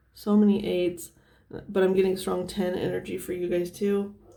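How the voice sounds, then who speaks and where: Amid noticeable background noise and audible room echo, a woman speaks at a medium pitch and moderate pace with monotone, flat intonation. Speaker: tarot reader. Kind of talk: tarot reading to camera.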